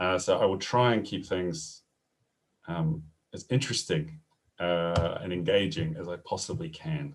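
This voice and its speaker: A man with a New Zealand accent and a very deep, low pitch, lively intonation, a fairly slow pace and long, frequent pauses, set in a quiet background. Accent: New Zealand, noticeable. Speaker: professor. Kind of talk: webinar presentation. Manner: hesitant, many fillers.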